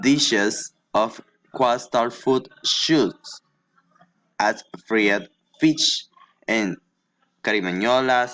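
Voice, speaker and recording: Lively intonation marks this man's speech. His pitch is medium and his pace very slow. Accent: Spanish. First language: Spanish. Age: 20s. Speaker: English language student. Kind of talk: reading aloud a prepared class assignment. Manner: halting.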